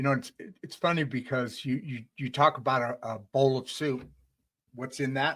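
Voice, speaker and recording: A man's fairly high voice with a US Midwestern accent. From US Midwest, Detroit. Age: 60s. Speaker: podcast host. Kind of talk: casual interview chat.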